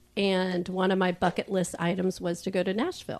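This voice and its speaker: In a quiet background, a woman with an ordinary speaking voice talks at medium pitch and a fairly slow pace. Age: 60s. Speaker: podcast guest, speed dating participant. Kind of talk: casual chat.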